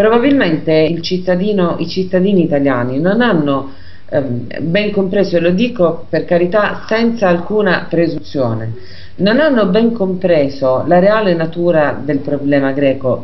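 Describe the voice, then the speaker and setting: A woman with a fairly low pitch speaks at a fairly slow pace with lively intonation and very even loudness. There is noticeable background noise. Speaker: radio host. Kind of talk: radio talk show hosting.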